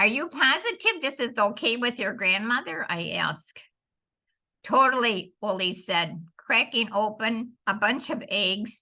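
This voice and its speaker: The woman here has an unremarkable speaking voice with a fairly high pitch. She goes at a fairly slow pace. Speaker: foster grandparent volunteer reading a children's story. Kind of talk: children's story reading.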